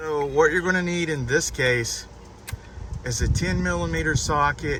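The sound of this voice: At a fairly slow pace, a man speaks with fairly high pitch, a fairly bright tone and ordinary pitch variation over faint background noise.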